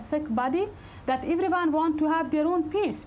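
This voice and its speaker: A woman with an Afghan accent at a fairly quick pace, with ordinary pitch variation and light background noise. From Afghanistan. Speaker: politician and women's rights activist; politician. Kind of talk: public speech to an audience; talk answering audience. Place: hall.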